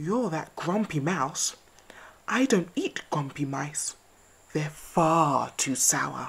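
Speaking slowly in a put-on character voice, a woman keeps her pitch low, with a husky, rough edge and vocal fry. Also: ordinary pitch variation.

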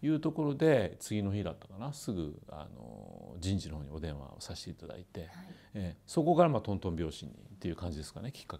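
A man's very deep, low voice with a dark, mellow tone and vocal fry, very wide pitch swings, big swings in loudness and a very fast pace. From Kitakyushu, Japan. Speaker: company president, former fast-food store manager. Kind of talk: interview, recounting career story. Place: office. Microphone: lapel.

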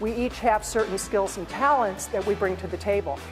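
A woman with an American accent talks in an energetic tone at a moderate pace. Clear music plays in the background. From United States. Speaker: motivational speaker. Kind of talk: keynote speech. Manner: energetic, powerful.

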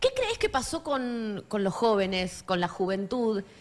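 At a fairly slow pace, a woman speaks with lively intonation in a fairly high voice. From Argentina, La Matanza (Catán). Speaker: radio host. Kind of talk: radio interview. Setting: radio studio.

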